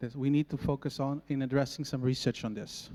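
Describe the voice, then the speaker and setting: In a dry, close recording with no echo and a very clean, silent background, a man with a Portuguese accent speaks at a fairly high pitch. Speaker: agronomist. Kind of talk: conference presentation. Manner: halting.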